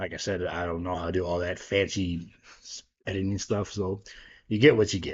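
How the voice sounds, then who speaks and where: A man speaks in a very deep, low, somewhat breathy voice. His intonation stays fairly even. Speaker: wrestling YouTuber. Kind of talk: casual solo commentary to camera. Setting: home dining room. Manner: casual, filler-heavy (um, like I said).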